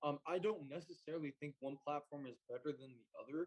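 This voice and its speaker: A man with an American accent, fairly high in pitch, with fairly even intonation. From Utah. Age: 20s. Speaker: entrepreneur. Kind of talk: interview.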